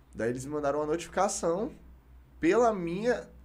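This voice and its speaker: A man has a plain, everyday voice. He speaks at a moderate pace with lively intonation. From Brazil, Goiás (Goiânia and Palmeiras de Goiás). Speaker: rapper. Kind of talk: casual interview chat. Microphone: too far from the mic at times.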